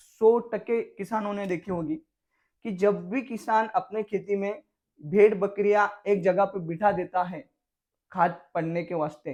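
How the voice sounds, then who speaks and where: With a Marathi accent, a man speaks at a high pitch with ordinary pitch variation over a quiet background. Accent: Marathi-accented Hindi. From Maharashtra, Jalgaon. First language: Marathi (speaking Hindi). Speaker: farmer. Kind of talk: farming tutorial video. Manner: casual, conversational.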